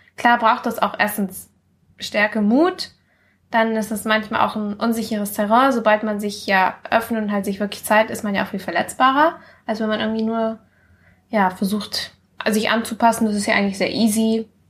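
Speaking at a moderate pace, a woman uses a somewhat breathy, fairly high voice with fairly even intonation. The recording is very clean, with a silent background. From Mallorca, Spain. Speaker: guest, friend of host. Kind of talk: casual chat.

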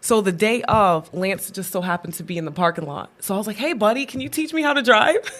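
A woman talks at a very fast pace with hardly any pauses, her medium-pitched voice making very wide pitch swings and big swings in loudness. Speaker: podcast host. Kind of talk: casual devotional chat. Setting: studio.

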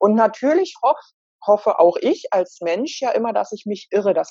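A woman's medium-pitched voice rises and falls in very wide pitch swings. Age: 50s. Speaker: cancer patient. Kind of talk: interview. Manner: hesitant word-finding.

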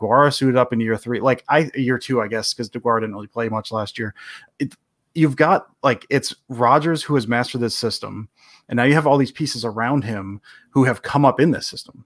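A plain, everyday voice from a man with an American accent, medium pitch, a fairly quick pace, and ordinary pitch variation, with a dry, close sound with no echo on a very clean recording with a silent background. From Detroit area, Michigan. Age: 40s. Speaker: sports writer and podcaster. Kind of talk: casual interview chat.

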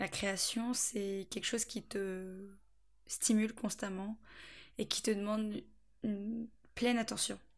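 Over a silent background in a very clean recording, a woman of medium pitch speaks very slowly in a flat monotone, leaving long, frequent pauses. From France, Angers area (Anjou). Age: 20s. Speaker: podcast host, student. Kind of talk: solo monologue podcast. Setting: at parents' home. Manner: chatty, frequent laughter.

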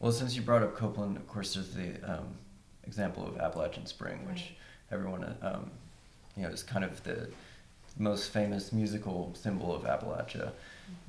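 Over audible room echo, a man with an American accent speaks at a fairly quick pace and a fairly low pitch, with ordinary pitch variation. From West Virginia, Huntington. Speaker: composer. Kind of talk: panel discussion.

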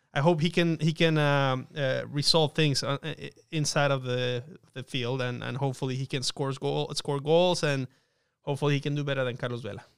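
In a very clean recording with a silent background, a man with an unremarkable speaking voice, fairly high in pitch, talks at a moderate pace with fairly even intonation. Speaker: sports broadcaster guest. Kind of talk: casual chat.

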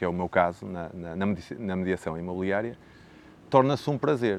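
Pitched very deep and low, the man talks at a moderate pace with ordinary pitch variation. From northern Portugal (Braga district, Minho). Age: 40s. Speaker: teacher and real estate agent. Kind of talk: interview.

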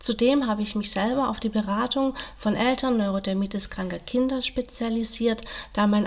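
Amid noticeable background noise, a woman speaks at a moderate pace with a medium pitch and fairly even intonation. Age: 40s. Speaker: social worker and family counsellor. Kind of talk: interview.

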